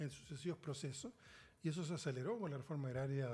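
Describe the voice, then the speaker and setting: Very fast speech comes from a man with a medium pitch. His voice is somewhat breathy, with a dark, mellow tone. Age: 60s. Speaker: senate candidate. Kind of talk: interview.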